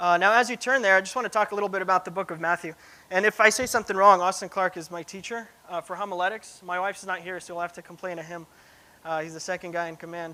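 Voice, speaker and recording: A man's raised, projected voice in a Pacific Northwest accent, high-pitched with a bright, sharp tone, very fast pace, big swings in loudness and fairly even intonation. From Russia, moved to US as a child; grew up in Cincinnati and Seattle. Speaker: preaching student. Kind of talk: sermon; personal testimony. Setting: church. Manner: casual, many fillers.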